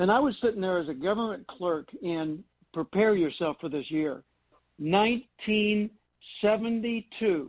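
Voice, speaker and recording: With an American accent and lively intonation, the speaker talks at a fairly slow pace. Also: man, high pitch for a man. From US South, Arkansas (Little Rock). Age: 70s. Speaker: public speaker and author. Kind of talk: interview.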